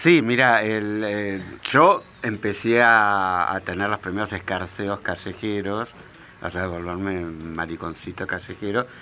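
A man speaks very slowly at a fairly low pitch with ordinary pitch variation. Background noise is noticeable. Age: 40s. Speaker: author. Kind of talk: interview.

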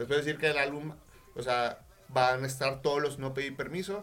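Here a man speaks with a fairly high voice. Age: 20s. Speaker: musician. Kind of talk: casual chat.

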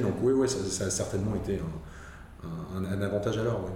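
Fairly quick speech from a man with a fairly low pitch and fairly even intonation, with audible room echo and noticeable background noise. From Alsace, France. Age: 50s. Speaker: media and advertising professional. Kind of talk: interview. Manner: halting, with repetitions.

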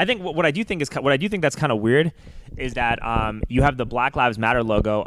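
A man at a very fast pace with an American accent. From New York. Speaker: podcast host, pedicab driver. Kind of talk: casual interview.

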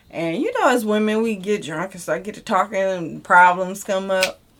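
This woman has a plain, everyday voice at a medium pitch. Her intonation is fairly even. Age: 30s. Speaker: podcast co-host. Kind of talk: casual chat.

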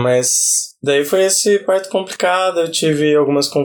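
Speaking fairly slowly, a man with an ordinary speaking voice has a fairly high pitch. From Brazil, Campinas area, São Paulo state. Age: 30s. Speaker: podcast host. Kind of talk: casual interview, being interviewed.

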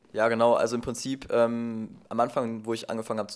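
A man talks with a medium pitch. The recording is very clean and the background is silent. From Ruhr area, near Duisburg, Germany. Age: 20s. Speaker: photographer. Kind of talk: casual conversation. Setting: sitting together on a sofa, in person. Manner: hesitant, many fillers.

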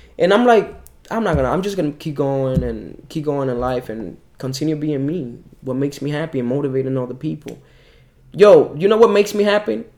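Lively in intonation, a man talks at a fairly quick pace and fairly high pitch over noticeable background noise. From Dominican Republic. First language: Spanish. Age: 20s. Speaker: calisthenics athlete and personal trainer. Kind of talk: casual interview. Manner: animated.

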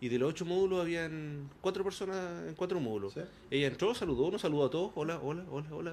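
A man's fairly high voice with lively intonation. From Chile, Concepción. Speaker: radio host. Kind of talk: casual chat. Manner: halting.

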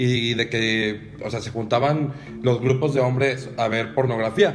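Medium-pitched male speech amid noticeable background noise and audible room echo. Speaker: podcast co-host. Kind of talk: casual chat.

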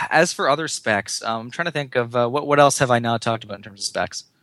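Over a quiet background, a man with a normal speaking voice talks at a fairly quick pace, with ordinary pitch variation and big swings in loudness. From Canada. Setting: Skype call.

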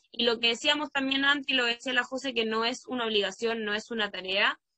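Bright and sharp in tone, a woman's fairly high voice moves at a moderate pace with ordinary pitch variation, the sound dry and close with no echo. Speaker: podcast host and primary school teacher. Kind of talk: casual chat.

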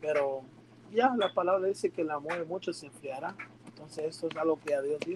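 In an unremarkable speaking voice, a man talks at a fairly quick pace and a fairly high pitch with ordinary pitch variation. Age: 20s. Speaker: church youth leader. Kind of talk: casual chat.

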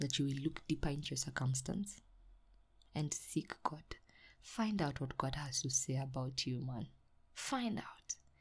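Fairly slowly, a woman talks in a very deep, low voice with vocal fry. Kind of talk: devotional talk. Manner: animated.

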